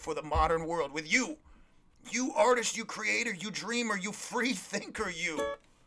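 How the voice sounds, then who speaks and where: A man with a high-pitched, raised and projected voice talks at a moderate pace with lively intonation. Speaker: podcast host. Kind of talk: casual motivational monologue. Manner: animated; sounds sarcastic.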